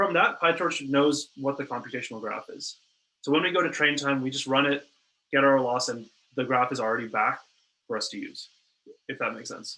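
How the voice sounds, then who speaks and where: Bright and sharp in tone, a man with a fairly high pitch talks at a fairly quick pace, with ordinary pitch variation, big swings in loudness and long, frequent pauses. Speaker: workshop instructor. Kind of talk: lecture. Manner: fast.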